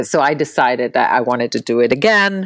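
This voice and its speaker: An Italian accent at a moderate pace, with very wide pitch swings. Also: woman. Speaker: film director and actress. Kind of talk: interview.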